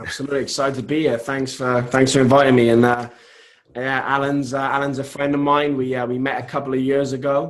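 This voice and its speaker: In a British accent, a man of medium pitch talks at a fairly quick pace in a flat monotone, with audible room echo. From United Kingdom. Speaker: online business entrepreneur. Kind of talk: online interview. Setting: remote broadcast from home.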